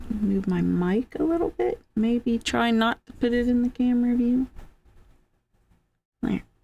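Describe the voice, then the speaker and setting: Loud and dark, mellow in tone, this voice moves at a fairly slow pace with ordinary pitch variation. Long, frequent pauses break it up. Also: woman, high pitch for a woman. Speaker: crochet live streamer. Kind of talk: casual crochet live stream chat. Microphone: mic volume good, perfect distance.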